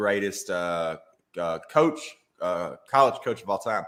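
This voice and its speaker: A man with a strong Alabama accent. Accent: thick Alabama Southern. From Alabama (Brookwood, near Tuscaloosa). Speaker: comedian. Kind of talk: casual interview chat. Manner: animated, many fillers.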